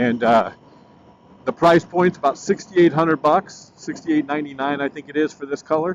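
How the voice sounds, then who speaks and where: A man has an unremarkable speaking voice with a fairly high pitch. He speaks at a fairly quick pace with ordinary pitch variation. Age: 60s. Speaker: motorcycle vlogger. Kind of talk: casual review while riding.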